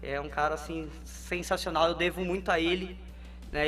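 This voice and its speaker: Background music is playing. A man talks at a moderate pace. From Brazil, ABC region of São Paulo. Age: 30s. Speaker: jiu-jitsu coach. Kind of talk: interview.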